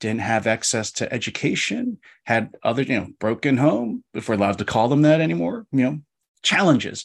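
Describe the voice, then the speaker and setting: A man with an American accent in a normal speaking voice, medium in pitch with ordinary variation, at a fairly quick pace, on a very clean recording with a silent background and a dry, close sound with no echo. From US Northeast, Philadelphia. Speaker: law professor. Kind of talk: casual interview discussion.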